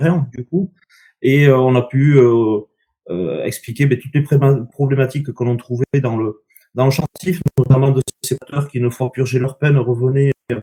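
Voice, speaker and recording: A man's somewhat breathy voice has a dark, mellow tone and fairly even intonation. The sound is dry and close with no echo. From southwest France, Landes. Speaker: association founder, former rugby player. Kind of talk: online conference talk. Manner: hesitant, many fillers.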